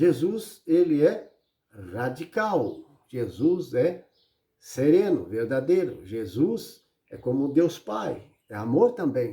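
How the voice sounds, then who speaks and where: This man speaks very slowly in a fairly high voice with vocal fry and a dark, mellow tone, making very wide pitch swings and big swings in loudness. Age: 60s. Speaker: preacher. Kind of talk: sermon. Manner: animated.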